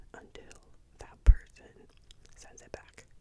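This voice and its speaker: Someone whispers at a fairly slow pace in a calm tone. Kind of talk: ASMR soft-spoken ramble to camera. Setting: close-up microphone. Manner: soft-spoken, slow, calm.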